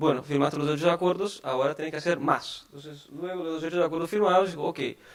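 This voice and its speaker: A man with a Portuguese accent speaks at a fairly high pitch. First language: Portuguese (speaking Spanish). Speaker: tax advisor. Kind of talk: conference talk. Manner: halting, many fillers.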